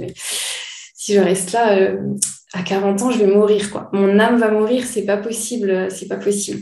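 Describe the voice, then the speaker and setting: Against noticeable background noise and audible room echo, a woman speaks at a fairly slow pace with fairly even intonation. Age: 30s. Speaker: naturopath. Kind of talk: casual chat.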